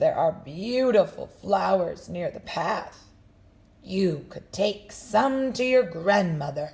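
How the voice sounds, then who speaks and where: The speaker uses a put-on character voice at a middle pitch. The delivery moves at a very slow pace. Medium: read story. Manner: sly.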